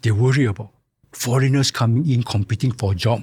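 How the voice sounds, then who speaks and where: With a somewhat breathy tone, this man's pitch rises and falls in an ordinary way. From Singapore. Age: 70s. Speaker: retired insurance executive. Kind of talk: interview conversation. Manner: halting, many fillers.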